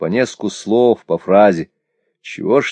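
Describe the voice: The voice is plain reading aloud over a quiet background.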